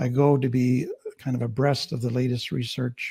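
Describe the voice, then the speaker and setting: Someone with a Canadian accent speaks at a fairly slow pace in a somewhat breathy voice with fairly even intonation, on a very clean recording with a silent background. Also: man. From Canada. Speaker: trauma therapist. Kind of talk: panel discussion introduction.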